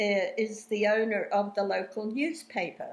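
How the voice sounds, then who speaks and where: Speaking in an Australian accent, a woman talks at a fairly slow pace and a medium pitch, with ordinary pitch variation. The background is quiet. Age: 80s+. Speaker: talk show host. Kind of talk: interview.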